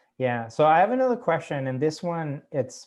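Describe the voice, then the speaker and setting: A man speaks at a moderate pace with a Cuban accent. The background is quiet. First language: Spanish. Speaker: author. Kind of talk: casual chat. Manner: halting.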